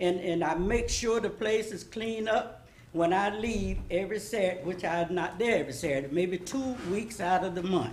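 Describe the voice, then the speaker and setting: A woman speaks at a moderate pace with a medium pitch and ordinary pitch variation. Some room echo can be heard. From US South, Florida. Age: 80s+. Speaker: public commenter. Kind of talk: public comment at city meeting. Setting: city commission meeting.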